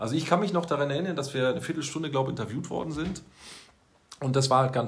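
Fairly high male voice, ordinary pitch variation throughout. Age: 30s. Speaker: school social worker. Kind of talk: casual chat. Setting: office.

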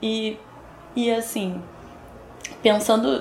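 A woman speaks at a medium pitch with fairly even intonation. The room echo is audible, and background noise is noticeable. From Brazil, São Gonçalo (Rio de Janeiro state). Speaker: poet and educator. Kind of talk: interview conversation about literature.

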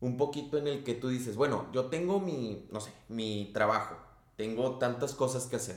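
With a Mexican accent, a man speaks at a moderate pace and medium pitch, and the room echo is audible. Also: ordinary pitch variation. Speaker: podcast co-host. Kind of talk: casual chat.

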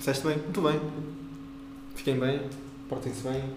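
Noticeable background noise and audible room echo surround a man speaking at a moderate pace with a medium pitch and monotone, flat intonation. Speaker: podcast co-host. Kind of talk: casual chat.

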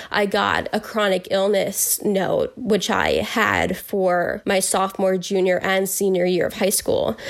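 A woman with an American accent at a fairly slow pace, hardly any pauses and very even loudness, over noticeable background noise. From Northern New Jersey. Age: young. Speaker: college student with Lyme disease. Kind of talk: personal testimony interview.

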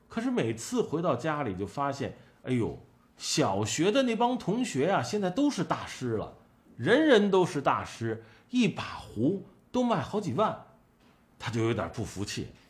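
Vocal fry runs through a man's fairly high-pitched voice. He speaks at a fairly slow pace with very wide pitch swings. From Shandong, Tai'an. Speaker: collectibles commentator. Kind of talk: casual monologue.

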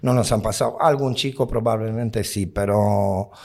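A man's dark, mellow tone. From outside Spain. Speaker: nightclub bouncer. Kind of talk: interview. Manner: halting.

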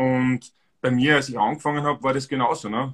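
A man speaks with an Austrian accent. His pitch sits in the medium range. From Austria, Styria. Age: 40s. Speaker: amateur runner. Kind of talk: casual chat.

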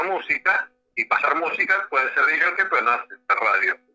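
A man's voice at a moderate pace. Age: 60s. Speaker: internet radio host. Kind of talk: radio interview. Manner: halting.

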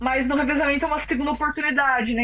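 A woman speaks in a high, raised and projected voice. Background noise is noticeable. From interior of São Paulo state, Brazil (Araras). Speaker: professional triathlete. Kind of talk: interview.

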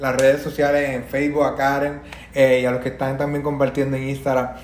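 An animated man speaks with audible room echo and noticeable background noise. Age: 20s. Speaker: podcast host and entrepreneur. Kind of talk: motivational live stream talk.

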